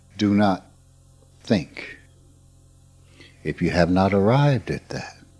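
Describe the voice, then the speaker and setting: Over music in the background, a man with an American accent speaks at a very slow pace, his pitch fairly low with ordinary variation. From US South. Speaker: spiritual teacher. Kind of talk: informal spiritual talk.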